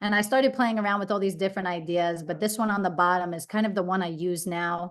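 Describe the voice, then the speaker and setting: A woman speaks at a medium pitch with ordinary pitch variation in a New York accent, over a quiet background. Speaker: branding expert. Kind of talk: presentation. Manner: fast.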